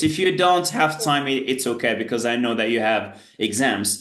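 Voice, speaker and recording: A man at a moderate pace with ordinary pitch variation, amid audible room echo and noticeable background noise. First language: Berber (Tamazight). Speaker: English teacher. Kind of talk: online tutoring lesson. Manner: filler-heavy, repeats "great" often.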